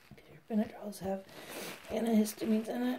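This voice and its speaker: A woman speaks over noticeable background noise. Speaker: beekeeper. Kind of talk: casual talk to camera.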